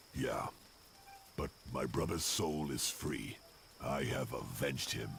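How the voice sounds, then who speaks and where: A raspy, put-on character voice speaks at a fairly slow pace over clear background noise. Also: man, very deep, low pitch for a man. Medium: video game. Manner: terse, gruff.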